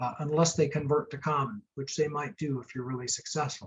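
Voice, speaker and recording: There is a somewhat breathy quality to this voice. The man talks at a fairly high pitch. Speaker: startup and venture capital attorney. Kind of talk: webinar lecture.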